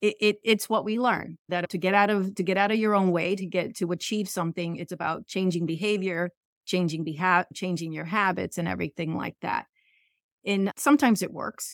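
In a dry, close sound with no echo, a woman uses a plain, everyday voice, speaking fairly quickly with ordinary pitch variation. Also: medium pitch for a woman. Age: 50s. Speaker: podcast host, business owner. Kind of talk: interview.

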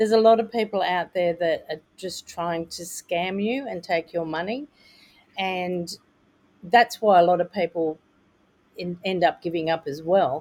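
In an Australian accent, a woman speaks at a fairly slow pace with ordinary pitch variation and big swings in loudness. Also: fairly low pitch for a woman. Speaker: author coach and publisher. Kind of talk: interview. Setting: video call.

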